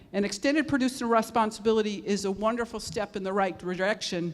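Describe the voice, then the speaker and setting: A woman talks in a normal speaking voice at a medium pitch. Her pitch varies in an ordinary way. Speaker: zero waste consultant and panel moderator. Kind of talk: conference panel presentation.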